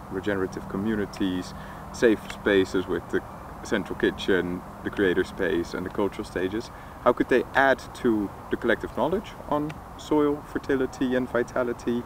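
A man at a moderate pace, dry with no echo, over noticeable background noise. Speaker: interviewer. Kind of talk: interview conversation. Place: garden. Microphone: lapel.

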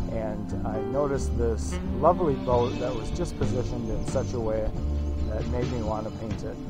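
A man talks at a moderate pace over loud music in the background. The sound is dry with no echo. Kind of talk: casual vlog chat. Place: waterside. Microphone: phone near.

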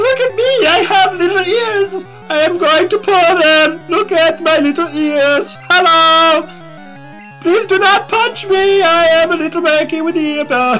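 Against clear music in the background, a put-on character voice at an extremely high pitch moves at a fairly slow pace. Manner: playful, goofy.

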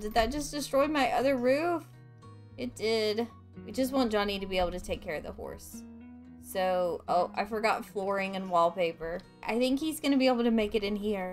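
A woman talks at a medium tempo as music plays faintly behind her. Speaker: gaming streamer. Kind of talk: casual gameplay commentary.

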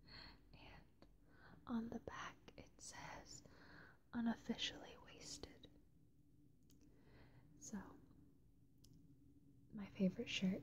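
A woman whispers at a very slow pace, with big swings in loudness. She leaves long pauses, and often. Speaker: ASMR creator. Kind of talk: ASMR whisper ramble to camera. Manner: whispered, soft-spoken. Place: home room. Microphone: phone near.

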